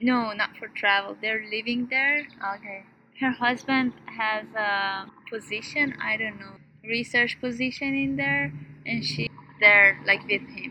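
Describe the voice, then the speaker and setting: A woman with an Iranian accent, fairly high pitch, fairly slow pace, lively intonation and big swings in loudness. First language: Persian. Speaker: PhD student. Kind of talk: casual chat. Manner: lively, varied intonation; laughs often.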